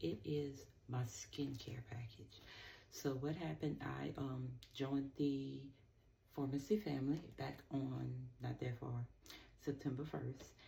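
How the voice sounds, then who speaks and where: A woman speaks quietly at a very slow pace. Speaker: skincare seller and vlogger. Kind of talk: casual talk to camera. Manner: quiet, low-key.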